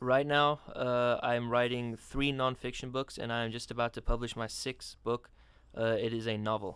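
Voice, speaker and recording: A man with a non-native accent speaks at medium pitch and a moderate pace in a monotone, flat intonation. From South Africa. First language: not English. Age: 20s. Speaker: student and writer. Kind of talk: radio interview.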